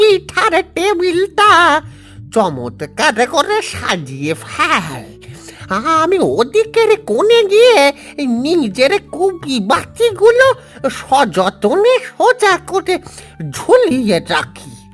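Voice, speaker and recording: A cartoonish character voice speaks at a very slow pace over faint music in the background. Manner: warm, fatherly.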